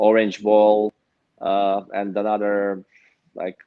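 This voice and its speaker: A man speaks at a fairly low pitch with a slight Romanian accent. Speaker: pro pickleball player and coach. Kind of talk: interview. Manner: halting, many fillers.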